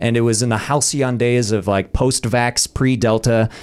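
With a plain, everyday voice and an American accent, a man speaks at a moderate pace and medium pitch with fairly even intonation. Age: 40s. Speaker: actor and comedian. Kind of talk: casual chat.

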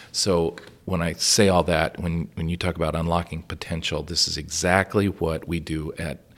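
Very deep and low in pitch, a man speaks at a moderate pace on a very clean recording with a silent background. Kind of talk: interview. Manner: halting.

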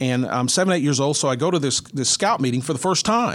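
A man speaks fairly quickly in a plain, everyday voice. His pitch is fairly high, and his intonation is lively. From North Central Texas (Mineral Wells). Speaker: retired TV sports director and author. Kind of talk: casual interview.

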